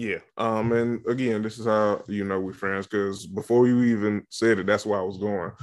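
A man's monotone, flat delivery in a Southern US accent. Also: moderate pace. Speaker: podcast host. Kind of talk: casual banter, reality TV recap.

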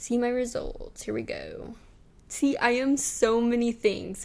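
Loud and high-pitched, a woman speaks at a fairly slow pace. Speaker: solo podcast host. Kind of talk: casual solo chat.

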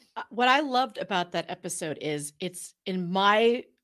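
A woman with a normal speaking voice talks at a moderate pace and medium pitch, her intonation lively. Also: very clean recording, silent background. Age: 50s. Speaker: podcast guest. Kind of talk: casual chat.

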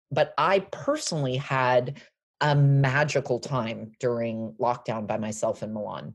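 A fairly slow pace with ordinary pitch variation. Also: woman, very deep, low pitch for a woman. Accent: American. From Los Angeles, US. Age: 40s. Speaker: fashion brand founder. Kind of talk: interview.

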